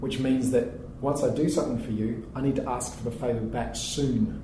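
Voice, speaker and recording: Over noticeable background noise and audible room echo, a man in a New Zealand accent speaks at a fairly quick pace, medium in pitch with ordinary pitch variation. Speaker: startup founder and CEO. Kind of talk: interview.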